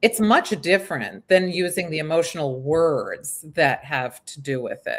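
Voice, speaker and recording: Fairly low-pitched woman, a normal speaking voice, fairly slow pace, lively intonation and big swings in loudness. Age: 50s. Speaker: aging expert. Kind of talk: casual chat.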